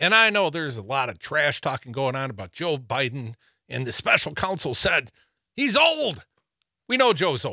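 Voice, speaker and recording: Recorded very cleanly against a silent background, a man with a fairly high, bright, sharp voice swings his pitch very widely at a moderate pace. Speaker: radio host. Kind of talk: live political talk radio banter. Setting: radio studio. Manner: animated, joking, laughs often.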